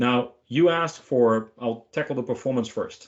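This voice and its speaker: Speaking with a Dutch accent, a man uses a medium pitch with ordinary pitch variation. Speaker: software product manager. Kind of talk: webinar Q&A answer.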